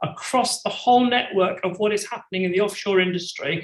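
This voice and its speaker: At a moderate pace, a man speaks in a high voice. The pitch moves with ordinary variation. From UK. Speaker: company CEO. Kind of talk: conference presentation.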